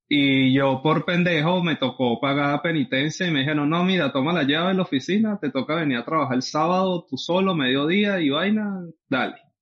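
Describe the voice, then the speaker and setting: In a Venezuelan accent, a man speaks at a fairly high pitch. His pace is fairly quick and his pitch variation ordinary. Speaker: podcast co-host. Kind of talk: casual chat.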